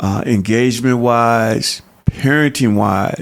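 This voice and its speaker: With an American accent, a man talks at a very slow pace, his pitch medium and his intonation fairly even. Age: 60s. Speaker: counselor and youth coach. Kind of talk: podcast interview.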